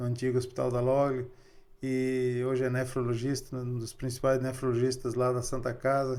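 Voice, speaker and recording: A man with medium pitch speaks at a moderate pace in an unremarkable speaking voice. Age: 60s. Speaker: local politician. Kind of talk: interview.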